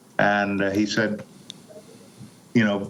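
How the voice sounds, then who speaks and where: Over noticeable background noise, a man with a fairly low pitch talks at a fairly slow pace. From Panama. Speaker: actor and narrator. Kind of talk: interview answer.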